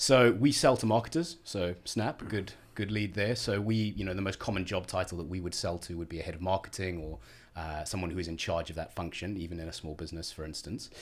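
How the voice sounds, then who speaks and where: Talking at a very fast pace, a man with a slight South African accent has a very deep, low pitch and ordinary pitch variation. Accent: South African, slight twang. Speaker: head of marketing at a tech company. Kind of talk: podcast interview.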